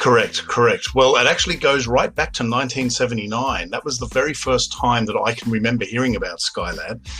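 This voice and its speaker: A man with an Australian accent at a fairly quick pace with hardly any pauses, music in the background. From Australia, Sydney. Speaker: filmmaker. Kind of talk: interview.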